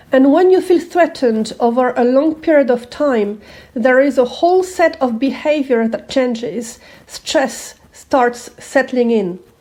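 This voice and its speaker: The voice is dark and mellow in tone, with a non-native accent. It moves at a fairly slow pace with ordinary pitch variation. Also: woman, high pitch for a woman. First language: not English. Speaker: manifesting coach. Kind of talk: self-help talk to camera.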